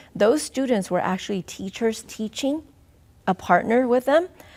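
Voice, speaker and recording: Speaking at a moderate pace, a woman with a Southeast Asian accent uses lively intonation. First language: Hmong. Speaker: school district superintendent. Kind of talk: interview. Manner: halting.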